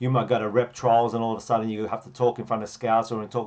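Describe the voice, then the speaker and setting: A man talks very fast with an Australian accent. His pitch sits in the middle range. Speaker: football coach. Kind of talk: tutorial.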